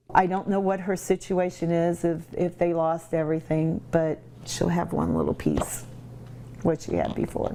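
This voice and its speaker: Noticeable background noise is present throughout. A woman speaks over it at a moderate speed. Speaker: winery owner. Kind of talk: interview answer.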